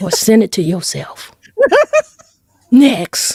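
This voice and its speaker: Her tone is dark and mellow, at a fairly high pitch. The woman speaks at a fairly slow pace. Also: dry, close sound with no echo. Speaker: podcast co-host. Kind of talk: casual chat. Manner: animated.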